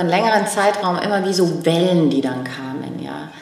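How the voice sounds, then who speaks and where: In a room with audible echo and noticeable background noise, a woman with a fairly low voice talks at a moderate pace, with ordinary pitch variation. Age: 50s. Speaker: podcast co-host and book author. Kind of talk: casual chat.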